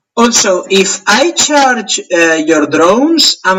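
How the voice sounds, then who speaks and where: The speaker has a Spanish accent and makes very wide pitch swings. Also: man. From Spain. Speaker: tabletop wargame player. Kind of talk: casual game play chat.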